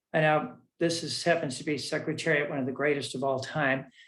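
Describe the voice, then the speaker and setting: Fairly high-pitched male speech at a moderate pace, with audible room echo. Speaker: physician. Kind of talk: lecture. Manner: animated.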